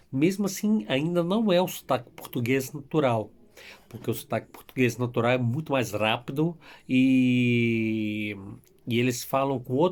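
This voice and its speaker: Lively intonation and a fairly slow pace come through on a very clean recording with a silent background. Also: man, medium pitch for a man. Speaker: YouTuber telling his immigration story. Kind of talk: casual vlog storytelling.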